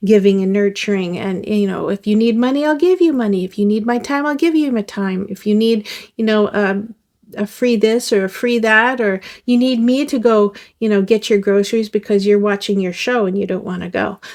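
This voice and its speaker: Speaking at a moderate pace, a woman has an unremarkable speaking voice with a fairly high pitch and ordinary pitch variation. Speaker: tarot reader. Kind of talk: tarot reading to camera. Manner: casual, conversational.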